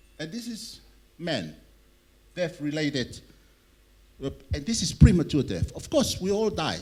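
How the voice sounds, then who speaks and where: A man with a fairly high, vocal-fry voice talks at a fairly slow pace with long, frequent pauses. His intonation is lively and his loudness swings widely. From Tonga. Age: 60s. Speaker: conference speaker on public health. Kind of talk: conference presentation.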